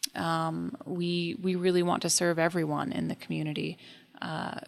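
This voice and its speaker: At a moderate pace, a woman with a fairly low pitch speaks in an American accent, in a plain, everyday voice. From Taos, New Mexico, US. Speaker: agricultural consultant. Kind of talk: radio interview. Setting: radio studio.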